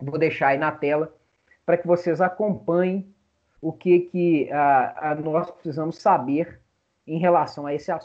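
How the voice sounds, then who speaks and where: Speaking at a fairly slow pace, a man with a Brazilian accent has a high pitch and ordinary pitch variation. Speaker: law professor. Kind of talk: lecture.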